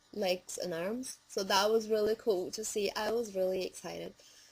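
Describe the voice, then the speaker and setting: A woman at medium pitch and moderate pace, fairly even intonation, with noticeable background noise. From Brazil. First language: Portuguese. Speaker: vlogger. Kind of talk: casual vlog.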